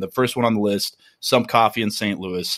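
Moving at a fairly quick clip, a man uses an ordinary speaking voice with ordinary pitch variation. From Minnesota. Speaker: coffee roaster business owner. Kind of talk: casual interview.

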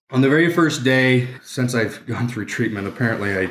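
The recording is very clean with a silent background, carrying a man's voice at medium pitch. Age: 30s. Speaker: police or military sergeant sharing recovery story. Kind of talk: testimony. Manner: choked up, emotional.

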